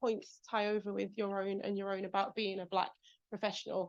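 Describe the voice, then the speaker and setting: A woman talks with a British accent. Her pace is fairly quick. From England. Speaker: executive speaker. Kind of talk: talk with audience Q&A.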